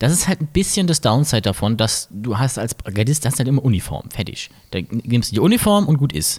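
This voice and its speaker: In a very clean recording with a silent background, a man with a medium-pitched, somewhat breathy voice talks at a fairly quick pace with very wide pitch swings. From Mainz, Germany. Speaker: podcast host. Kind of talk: casual chat. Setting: carnival float.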